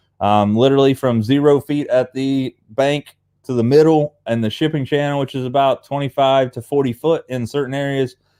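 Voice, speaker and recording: A man with an Appalachian accent, fairly high in pitch, at a moderate pace with fairly even intonation, in a very clean recording with a silent background and a dry, close sound with no echo. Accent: Appalachian hillbilly. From Appalachia, US. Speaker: fishing channel host. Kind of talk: casual live stream chat. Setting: live stream on Facebook and YouTube. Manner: casual, rambling with fillers.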